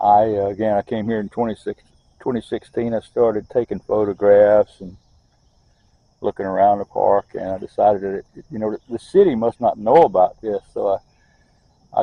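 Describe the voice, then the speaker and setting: A Southern US accent at a fairly quick pace, with big swings in loudness. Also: man. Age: 70s. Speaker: local park advocate. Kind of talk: casual monologue. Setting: outdoors. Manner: halting.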